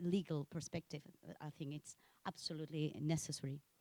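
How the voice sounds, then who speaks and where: A woman's dark, mellow voice with a Spanish accent in a dry, close sound with no echo. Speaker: sociologist. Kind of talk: self-introduction at academic meeting. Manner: halting, many fillers.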